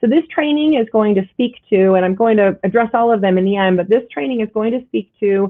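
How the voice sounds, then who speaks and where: A woman's medium-pitched voice with lively intonation at a fairly quick pace. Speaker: real estate trainer. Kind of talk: lecture. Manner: fast.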